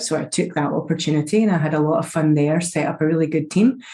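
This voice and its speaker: A woman with a Scottish accent talks at a fairly quick pace in a very deep, low pitch with ordinary pitch variation. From Scotland. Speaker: security executive. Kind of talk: podcast interview.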